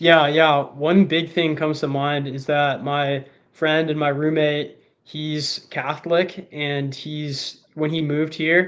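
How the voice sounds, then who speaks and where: A man's fairly high-pitched voice at a very slow pace with monotone, flat intonation. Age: 20s. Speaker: online creator, writer and videographer. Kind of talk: casual interview chat. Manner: casual, many filler words.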